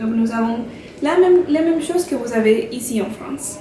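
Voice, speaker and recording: A woman with a Colombian accent, fairly high in pitch, lively in intonation, at a fairly slow pace, over noticeable background noise. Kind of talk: casual talk to camera.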